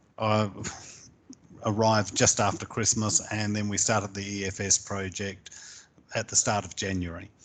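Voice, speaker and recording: A man with a New Zealand accent, fairly low pitch, moderate pace, monotone, flat intonation and long, frequent pauses. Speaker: small business coach. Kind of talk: interview. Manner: hesitant, with frequent fillers.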